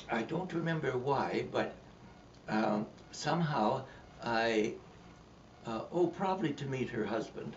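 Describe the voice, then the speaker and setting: A man at a fairly slow pace with long, frequent pauses and lively intonation, against noticeable background noise. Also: medium pitch for a man. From Canada. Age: 80s+. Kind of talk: interview answer.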